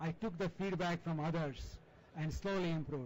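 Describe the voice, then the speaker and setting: Speaking with an Indian accent, this man has a high pitch and ordinary pitch variation. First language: non-English Indian language. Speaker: journal editor and chemistry professor. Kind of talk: panel discussion.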